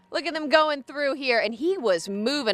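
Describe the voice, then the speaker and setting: A woman speaks in a raised, projected voice, recorded dry and close with no echo. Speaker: TV news anchor and reporter. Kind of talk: live TV news report.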